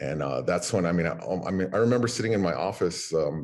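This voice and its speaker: The speaker uses lively intonation and vocal fry, with an American accent. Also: man. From Navajo Nation, US Southwest. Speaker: museum director. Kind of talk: interview. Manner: halting, many fillers.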